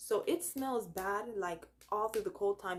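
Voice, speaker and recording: Speaking in a Jamaican accent, a woman uses lively intonation. Her pitch is medium and her pace moderate. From Jamaica, Saint Elizabeth. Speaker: YouTuber, college student. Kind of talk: casual vlog talk. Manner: animated.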